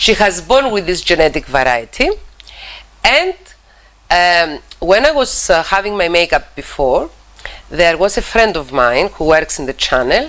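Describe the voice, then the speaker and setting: A woman with a Cypriot accent speaks at a fairly slow pace, with very wide pitch swings and long, frequent pauses, over noticeable background noise. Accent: Greek Cypriot accent in English. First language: Greek. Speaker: TV talk show host, psychologist. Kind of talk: TV interview. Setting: TV studio. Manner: halting, repeats words.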